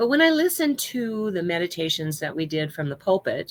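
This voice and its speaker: A woman with a fairly low pitch, lively intonation and a moderate pace. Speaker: minister. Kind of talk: sermon. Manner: louder than usual, less smooth. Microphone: no microphone near mouth.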